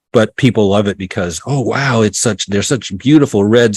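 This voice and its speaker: On a very clean recording with a silent background and a dry, close sound with no echo, a man talks at a moderate pace in a normal speaking voice, fairly low in pitch with ordinary pitch variation. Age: 60s. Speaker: off-grid homesteader and author. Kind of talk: interview.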